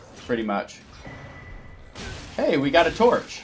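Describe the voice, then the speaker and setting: An animated man with an American accent speaks over noticeable background noise. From United States. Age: 30s. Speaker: gaming streamer. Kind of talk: live gameplay stream chat. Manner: casual, animated.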